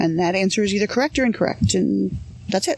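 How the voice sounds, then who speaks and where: A woman with a slight Canadian accent speaks at a medium pitch. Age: 40s. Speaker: psychologist. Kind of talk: interview storytelling.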